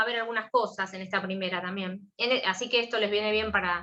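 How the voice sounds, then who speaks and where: Speaking very fast with an Argentine accent, a woman uses a fairly high pitch and a bright, sharp tone. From Argentina. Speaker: law professor. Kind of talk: lecture.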